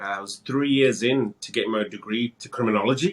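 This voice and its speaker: Speaking fairly quickly, a man with a British accent talks at a medium pitch. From England, Wolverhampton. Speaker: real estate broker, former police officer. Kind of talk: interview.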